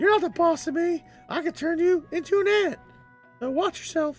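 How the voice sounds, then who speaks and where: Over faint background music, a man uses a put-on character voice at an extremely high pitch and a moderate pace. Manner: sassy, threatening playfully.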